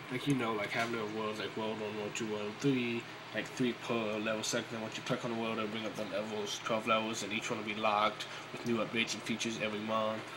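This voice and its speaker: With audible room echo, a man talks very fast at a fairly low pitch in a flat, monotone way. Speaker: indie game developer. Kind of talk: tutorial. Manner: casual, filler-heavy.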